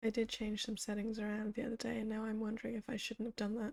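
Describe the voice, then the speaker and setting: Dark and mellow in tone, a woman speaks with monotone, flat intonation at a fairly quick pace. The sound is dry and close, with no echo. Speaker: streamer reading a book aloud. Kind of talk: casual chat with stream viewers. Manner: quieter than usual.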